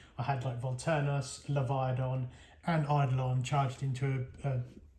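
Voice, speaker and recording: The speaker talks at a fairly slow pace with a Norfolk accent. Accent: Norfolk country. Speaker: tabletop gaming YouTuber. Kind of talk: product review. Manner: casual, hesitant with fillers.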